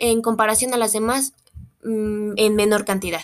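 Speech from a woman on a very clean recording against a silent background. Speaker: biology student. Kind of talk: educational talk. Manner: hesitant, frequent fillers.

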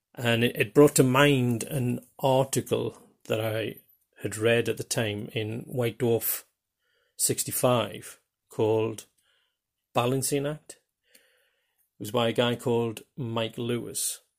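At a very slow pace with long, frequent pauses, a man speaks at medium pitch with fairly even intonation on a very clean recording with a silent background. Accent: Geordie. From northeast England (Newcastle area). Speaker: podcast host, tabletop role-playing gamer. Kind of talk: solo podcast monologue. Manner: hesitant, many fillers.

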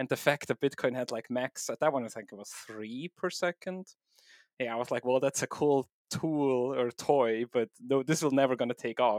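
In a Swiss German accent, a man speaks at a medium pitch and moderate pace with ordinary pitch variation, on a very clean recording with a silent background. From Switzerland. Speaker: software developer and home miner. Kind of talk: casual technical interview.

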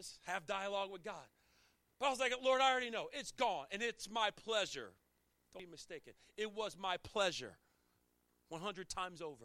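A man with an American accent speaks in a raised, projected voice, high-pitched and bright and sharp, with lively intonation and big swings in loudness. His tone is animated, his pace is moderate, and he leaves long, frequent pauses. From Chesapeake Bay area, US. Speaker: pastor. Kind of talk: sermon.

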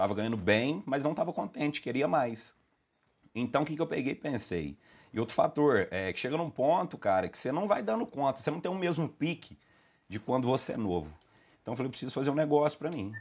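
The speaker moves at a fairly quick pace with very wide pitch swings. The recording is very clean, with a silent background. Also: man. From Lavras, Minas Gerais, Brazil. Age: 20s. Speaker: food business owner. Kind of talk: casual podcast chat.

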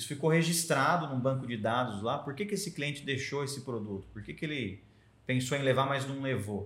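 This man has a medium pitch, ordinary pitch variation, a somewhat breathy voice and a fairly quick pace, with audible room echo around him. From Americana, São Paulo state, Brazil. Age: 30s. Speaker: journalist and press officer. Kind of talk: casual interview chat. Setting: association headquarters.

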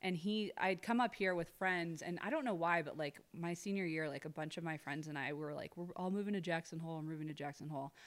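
A woman's fairly low voice at a very fast pace, with ordinary pitch variation, in a very clean recording with a silent background. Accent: slight Midwestern US. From Ohio. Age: 30s. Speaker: social media influencer and real estate broker. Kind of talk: casual interview chat.

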